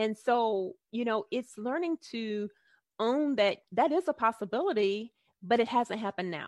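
A woman with a normal speaking voice talks at a moderate pace, her fairly high pitch carried by lively intonation. The sound is dry and close with no echo, over a quiet background. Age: 40s. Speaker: life coach and author. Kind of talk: interview. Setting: video call.

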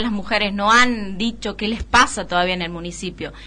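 A woman at a moderate pace with fairly even intonation, amid audible room echo. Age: 30s. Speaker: city councillor. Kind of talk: radio interview.

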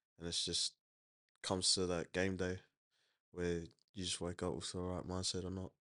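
In an Australian accent, a man with a very deep, low pitch and a bright, sharp tone speaks in a flat monotone at a moderate pace, with long, frequent pauses against a quiet background. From Logan, south Brisbane, Queensland. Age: young. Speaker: rugby league player. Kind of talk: interview. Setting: studio. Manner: halting.

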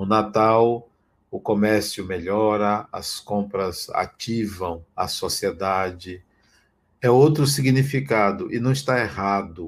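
A man at a very slow pace with ordinary pitch variation, on a very clean recording with a silent background. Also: fairly low pitch for a man. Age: 60s. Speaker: spiritual teacher. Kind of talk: spiritual talk.

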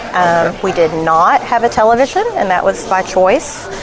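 Moderately paced speech from a woman amid noticeable background noise and audible room echo. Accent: Southern US. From Arkansas (Elkins, near Fayetteville). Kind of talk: casual interview. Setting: restaurant.

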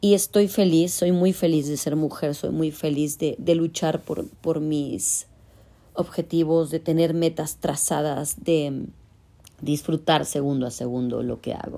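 In a very clean recording with a silent background, a woman speaks fairly slowly in a very deep, low voice with a dark, mellow tone. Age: 40s. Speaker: podcast host. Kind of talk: personal monologue. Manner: animated.

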